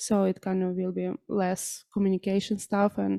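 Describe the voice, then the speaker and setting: A woman with a Ukrainian accent speaks in a dark, mellow tone, the sound dry and close with no echo on a very clean recording with a silent background. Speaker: charity volunteer. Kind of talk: public address. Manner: halting.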